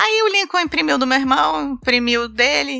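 A woman's raised, projected high voice in a Carioca accent, with very wide pitch swings. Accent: carioca Brazilian Portuguese. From Rio de Janeiro, Brazil. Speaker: travel blogger. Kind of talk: casual interview chat.

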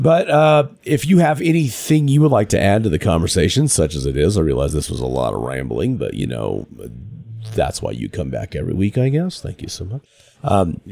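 A man's put-on character voice, fairly low-pitched, raspy, hoarse and gravelly, with very wide pitch swings, at a moderate pace over music in the background.

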